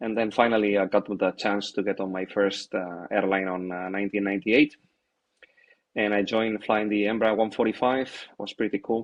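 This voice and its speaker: A man with a Spanish accent talks at a fairly quick pace in a fairly low pitch and monotone, flat intonation. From Spain. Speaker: airline captain. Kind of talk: interview. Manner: hesitant, many fillers.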